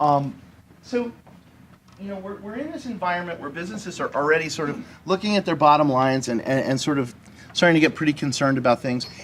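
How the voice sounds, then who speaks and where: A man speaking at a very fast pace with lively intonation and big swings in loudness. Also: fairly high pitch for a man. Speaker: business lobbyist speaker. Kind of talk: talk to business audience. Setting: conference meeting with audience. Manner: casual, halting with repetitions.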